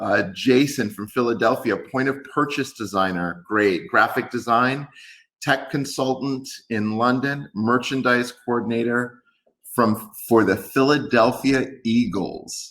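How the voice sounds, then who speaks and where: At a fairly slow pace, a man talks with a New York accent, his medium pitch showing ordinary variation. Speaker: tech company executive. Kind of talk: webinar presentation.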